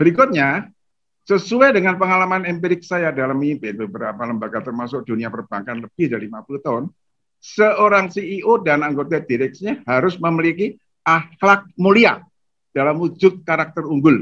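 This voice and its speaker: A man speaks with a high pitch and very wide pitch swings. His pace is fairly quick. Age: 80s+. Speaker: retired banking executive and author. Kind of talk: lecture. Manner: formal.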